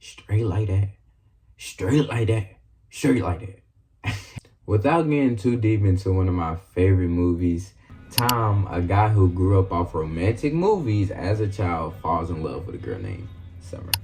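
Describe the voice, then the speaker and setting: Music plays behind a man with a very deep, low pitch. He speaks at a fairly slow pace with ordinary pitch variation. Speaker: YouTuber. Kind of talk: video essay narration. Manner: casual.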